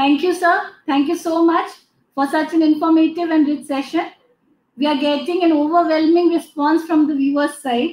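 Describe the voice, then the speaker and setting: Speaking with an Indian accent, a woman uses an extremely high pitch in a monotone, flat manner. She keeps a moderate pace, and the room echo is audible. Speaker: event moderator. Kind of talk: formal announcements. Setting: video call. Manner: formal. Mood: polite, formal, appreciative. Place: office. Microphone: webcam.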